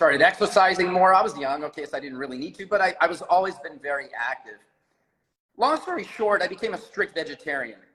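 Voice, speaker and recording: A man with an American accent speaks at a very fast pace, high in pitch, with an animated tone. His intonation is lively and his loudness swings widely. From US West Coast. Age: 60s. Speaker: former client. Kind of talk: casual chat. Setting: video call.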